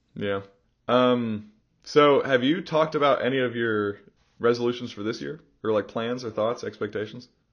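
A man's medium-pitched voice at a moderate pace with ordinary pitch variation. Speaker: podcast host. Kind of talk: casual chat.

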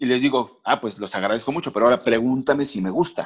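The man talks very fast, and the background stays quiet. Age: 40s. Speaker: sports journalist. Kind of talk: casual interview.

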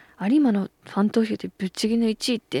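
A woman is heard in a dry, close recording with no echo, very clean against a silent background. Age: 30s. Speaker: radio host. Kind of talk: casual chat.

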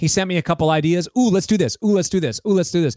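The recording is very clean and the background is silent. In it, a man talks with an American accent. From United States. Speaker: guitarist and musician. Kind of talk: casual interview chat.

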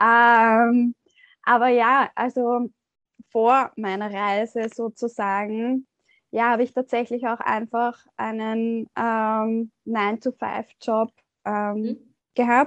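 The speech is very slow, in a flat monotone. The background is quiet. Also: woman, fairly high pitch for a woman, dry, close sound with no echo. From Austria. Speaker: yoga teacher and shamanic ritual guide. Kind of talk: interview conversation.

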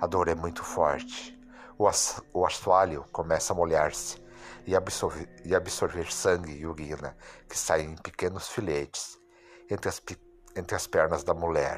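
A man's very deep, low voice, fairly slow and monotone, with flat intonation and long, frequent pauses. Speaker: podcast host. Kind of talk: horror narration, reading scary stories aloud.

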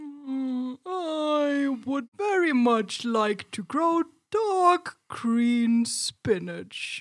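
A female-sounding put-on character voice, high-pitched, at a very slow pace with hardly any pauses. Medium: read story. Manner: slow, calm.

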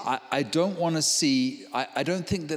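A man with a New Zealand accent at a moderate pace. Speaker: visiting preacher. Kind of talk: sermon with live interpretation. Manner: halting, repeats words.

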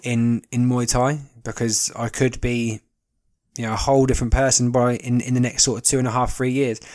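A man with a southern English accent speaks at medium pitch and a moderate pace. His intonation is monotone and flat, on a very clean recording with a silent background. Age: 20s. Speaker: podcast host. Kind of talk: casual monologue. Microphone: new recording equipment.

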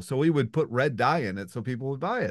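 A man with an American accent talks at a fairly quick pace. Vocal fry is audible, and the background is quiet. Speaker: podcast host. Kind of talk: casual interview.

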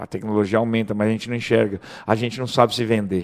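The clip features an ordinary speaking voice with fairly even intonation. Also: man. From Brazil, Mato Grosso (Rondonópolis). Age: 40s. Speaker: real estate broker. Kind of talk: casual chat.

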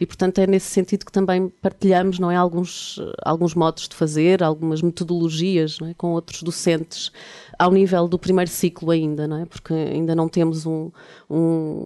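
A woman speaks at a moderate pace in a dark, mellow tone with a fairly low pitch and monotone, flat intonation. Her loudness swings widely, and the sound is dry and close with no echo. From Portugal, Lisbon. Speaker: visual artist and lecturer. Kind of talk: casual chat.

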